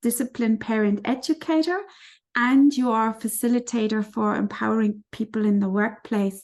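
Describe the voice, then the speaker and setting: Over a quiet background, a woman with a non-native accent speaks at a fairly high pitch. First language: not English. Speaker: parent educator and interviewer. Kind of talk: interview.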